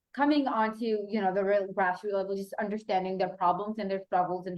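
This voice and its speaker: Talking at a fairly quick pace, a woman with a Pakistani accent holds a medium pitch. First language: Urdu. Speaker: youth mentor and activist. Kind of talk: panel discussion.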